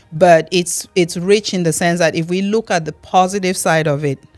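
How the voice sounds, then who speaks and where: With music in the background, a woman speaks at a fairly low pitch and a moderate pace with fairly even intonation. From Cameroon. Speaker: immigrant. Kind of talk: interview answer.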